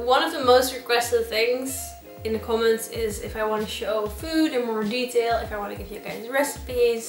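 A woman speaks at a high pitch and moderate pace with ordinary pitch variation and big swings in loudness. Faint music plays behind her, and there is audible room echo. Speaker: home cook vlogger. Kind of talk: casual vlog chat. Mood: playful, self-deprecating. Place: kitchen. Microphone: camera far.

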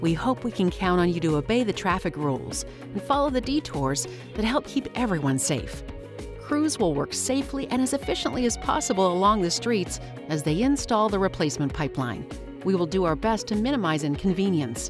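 A woman talks fairly quickly with very wide pitch swings and a very even loudness. Music plays in the background. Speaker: voice actor. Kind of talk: corporate narration.

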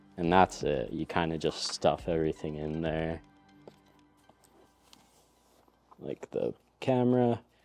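Faint music plays behind a man whose very deep, low voice moves at a fairly slow pace. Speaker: product reviewer. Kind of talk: casual unboxing commentary. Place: studio.

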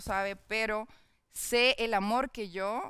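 The recording has a quiet background and a dry sound with no echo. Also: woman. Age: 20s. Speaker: online content creator. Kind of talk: casual interview chat. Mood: candid, personal, reflective. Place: studio. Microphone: headset.

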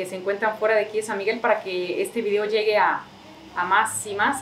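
Light background noise sits under a woman talking at a fairly quick pace. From Mexico, Jalisco (San Miguel el Alto). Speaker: local video interviewer. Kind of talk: channel outro. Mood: friendly, relaxed. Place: home room. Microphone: camera far.

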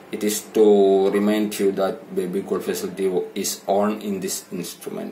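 Music plays in the background as a voice with a non-native accent and very wide pitch swings goes at a moderate pace. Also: man. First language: not English. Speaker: telecom seller and consultant. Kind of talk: product tutorial narration. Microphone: phone near.

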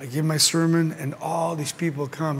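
A man speaks at a moderate pace in a monotone, flat intonation. Light noise sits in the background. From Mexico. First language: Spanish. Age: 70s. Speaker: pastor. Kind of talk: sermon. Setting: stage with audience. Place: hall.

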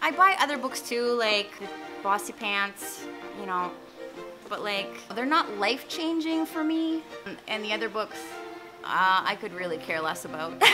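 A woman's fairly slow speech with long, frequent pauses and clear music in the background. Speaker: vlogger. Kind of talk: casual vlog chat. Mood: playful, animated. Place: garden. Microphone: phone near.

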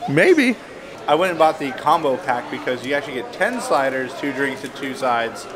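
A man speaks with lively intonation while a crowd is heard behind him. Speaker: travel vlogger. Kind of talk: casual vlog chat. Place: shop. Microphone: phone near.

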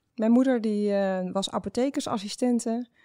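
A woman speaks at a fairly slow pace with a dark, mellow tone and fairly even intonation. The sound is dry and close, with no echo. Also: very clean recording, silent background. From Netherlands. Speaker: startup founder. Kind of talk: interview. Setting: studio. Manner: hesitant, many filler sounds.

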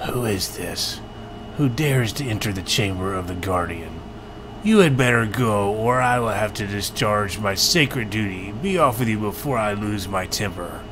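A man's put-on character voice, fairly low in pitch, at a moderate pace over loud background noise. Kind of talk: formal, archaic. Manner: stern, threatening.

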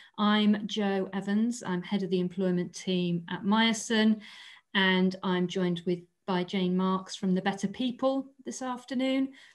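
Speaking at a fairly slow pace, a woman shows ordinary pitch variation over a quiet background. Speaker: webinar host, employment lawyer. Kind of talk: webinar introduction. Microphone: video call.

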